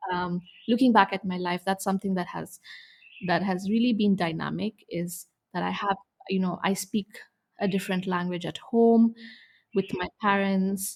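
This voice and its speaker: With a Tamil accent, a woman speaks at a moderate pace and a medium pitch, somewhat breathy, with fairly even intonation and long, frequent pauses. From India. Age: young. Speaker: expectant mother. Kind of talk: interview.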